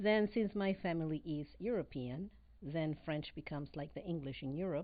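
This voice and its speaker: Speaking with a Spanish accent, a woman uses a fairly low pitch with ordinary variation at a moderate pace. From Venezuela. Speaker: real estate broker and business owner. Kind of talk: casual interview.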